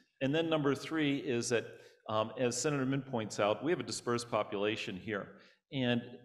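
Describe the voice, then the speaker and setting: With a plain, everyday voice, a man talks at a moderate pace, his medium pitch showing ordinary pitch variation. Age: 60s. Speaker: state senator. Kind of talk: panel discussion.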